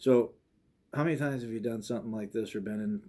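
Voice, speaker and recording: Mumbling in a flat monotone, a man speaks with a dark, mellow tone. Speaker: police chief. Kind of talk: advice talk to students. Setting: office, recorded to camera. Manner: casual; mumbles slightly.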